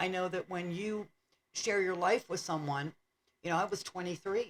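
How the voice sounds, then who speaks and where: A woman's plain, everyday voice, fairly low for a woman, at a moderate pace with ordinary pitch variation. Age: 60s. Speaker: podcast co-host, widow. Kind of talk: casual chat.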